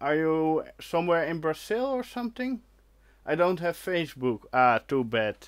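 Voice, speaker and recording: A Dutch accent with very wide pitch swings, a moderate pace, and a very clean recording with a silent background. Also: man, fairly high pitch for a man. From Netherlands. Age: 30s. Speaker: retro computing YouTuber. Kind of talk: live stream chat reading comments. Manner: hesitant, many fillers.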